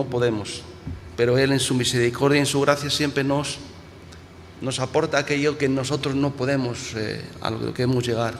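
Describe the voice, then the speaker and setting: A man speaks at a moderate pace with a medium pitch. His intonation is flat and monotone, and the room echo is audible. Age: 60s. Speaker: pastor. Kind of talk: sermon. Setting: church. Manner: halting, with frequent repetitions and restarts.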